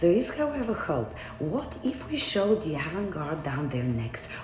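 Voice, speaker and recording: Someone with a Bulgarian accent speaks at a fairly slow pace over noticeable background noise. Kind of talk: spoken word monologue.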